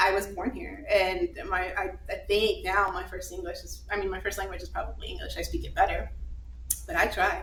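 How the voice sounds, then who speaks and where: Clearly audible background noise and audible room echo surround a female speaker. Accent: American. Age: 20s. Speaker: physician assistant. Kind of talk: live podcast interview. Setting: live recording with audience.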